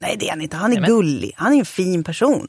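A woman with an ordinary speaking voice talks at a fairly quick pace with lively intonation, recorded with a dry, close sound and no echo. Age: 40s. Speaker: podcast co-host. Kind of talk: casual chat.

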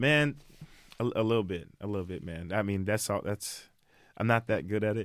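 A man's fairly low voice in an American accent, at a moderate pace with ordinary pitch variation, long, frequent pauses and a very clean recording with a silent background. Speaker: musician. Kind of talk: casual interview.

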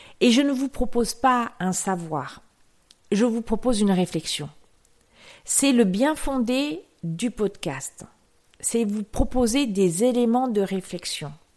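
Speech at a very slow pace, broken by long, frequent pauses, on a very clean recording with a silent background. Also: woman, fairly high pitch for a woman, lively intonation. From rural France. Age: 50s. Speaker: yoga podcast host. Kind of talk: solo reflective monologue. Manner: hesitant.

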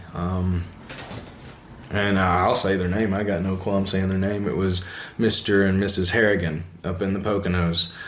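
With an Alabama accent, a man speaks at a fairly slow pace in a very deep, low pitch and a monotone, flat intonation, with audible room echo around him. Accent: Southern US (Alabama). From US South, Alabama. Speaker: epoxy floor installer. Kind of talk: casual interview.

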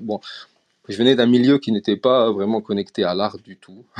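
An ordinary speaking voice from a man, fairly low in pitch with fairly even intonation at a moderate pace. The sound is dry and close with no echo over a quiet background. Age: 30s. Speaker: digital artist. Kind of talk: interview. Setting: live audio chat room.

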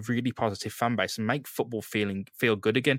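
A man speaks with a fairly low pitch and a fairly bright tone. The sound is dry and close with no echo, and his pitch varies in an ordinary way.

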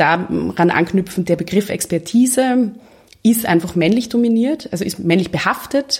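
At a moderate pace, a woman with a medium pitch speaks somewhat breathily and with lively intonation. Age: 20s. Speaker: lawyer and women's network co-founder. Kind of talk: interview conversation.

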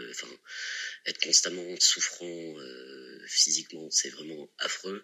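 Very slow speech comes from a man. He draws out each word. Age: 20s. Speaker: patient sharing testimony. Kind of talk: testimony. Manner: halting, many repeated words.

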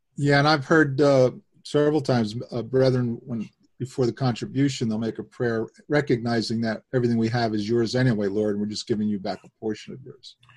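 With a plain, everyday voice at medium pitch, a man talks at a fairly quick pace with ordinary pitch variation and big swings in loudness. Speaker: webcast host. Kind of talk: casual online Bible discussion. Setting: online webcast with remote participants.

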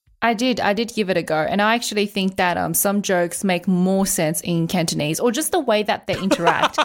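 A woman speaks in a plain, everyday voice at a medium pitch, with ordinary pitch variation. Her pace is fairly quick with hardly any pauses, on a very clean recording with a silent background. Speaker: podcast host. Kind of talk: casual chat about anime.

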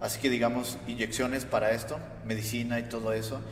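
Fairly slow speech from a man of medium pitch, with audible room echo and noticeable background noise. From United States. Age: young. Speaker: podcast co-host. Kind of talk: casual chat.

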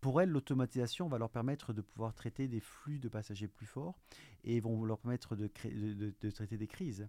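A dark, mellow tone at a fairly quick pace with ordinary pitch variation, in a dry, close sound with no echo on a very clean recording with a silent background. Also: man. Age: 50s. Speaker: network infrastructure director. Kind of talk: interview. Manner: hesitant, many fillers.

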